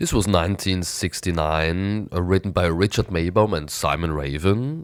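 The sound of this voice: This man's voice is nasal and raspy. He keeps a moderate pace with ordinary pitch variation.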